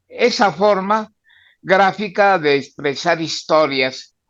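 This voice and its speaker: A man with a Mexican accent at a very slow pace, high in pitch with ordinary pitch variation, against a quiet background. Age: 90s. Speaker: comic book artist. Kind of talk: podcast interview.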